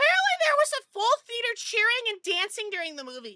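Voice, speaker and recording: A woman uses a squeaky put-on character voice at an extremely high pitch. She talks at a very fast pace with big swings in loudness. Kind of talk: casual streamer chatter. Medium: virtual streamer. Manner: fast, rambling, stammering.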